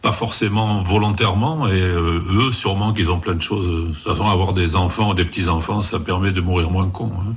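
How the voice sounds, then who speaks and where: Audible room echo surrounds a man's somewhat breathy voice at a fairly low pitch. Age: 60s. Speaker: comic book writer and artist. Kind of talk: interview.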